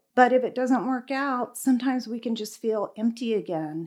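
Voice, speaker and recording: An unremarkable speaking voice from a woman with an American accent, fairly high in pitch, with ordinary pitch variation, on a very clean recording with a silent background. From California. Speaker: restaurant owner. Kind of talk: interview conversation.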